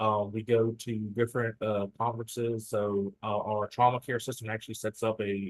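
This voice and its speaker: A man talks with a Southern US accent at a fairly low pitch. His intonation is monotone and flat. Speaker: state emergency medical services program staff. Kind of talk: presentation. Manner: fast; halting, many fillers.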